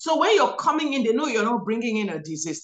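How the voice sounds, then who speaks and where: A woman with an African accent talks at a very fast pace in a fairly high pitch with lively intonation. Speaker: physician and guest. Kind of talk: interview, religious commentary. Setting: video call.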